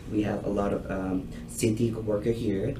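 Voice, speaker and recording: A man with a non-native accent talks in a fairly low voice with lively intonation. Audible room echo surrounds him. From Thailand. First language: Thai. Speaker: restaurant owner. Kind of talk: business proposal to a committee. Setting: public committee meeting. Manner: halting.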